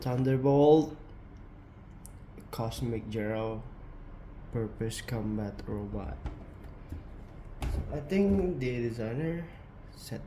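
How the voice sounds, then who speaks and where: A man talks very slowly at a medium pitch with ordinary pitch variation, and background noise is noticeable. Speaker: model kit builder. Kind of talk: casual product review to camera.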